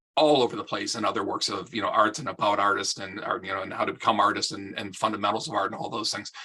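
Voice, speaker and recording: A man's very fast delivery at a medium pitch, bright and sharp in tone, with ordinary pitch variation and hardly any pauses. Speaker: amateur underwater photographer presenting to a club. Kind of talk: club presentation. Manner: casual with many fillers and repetitions.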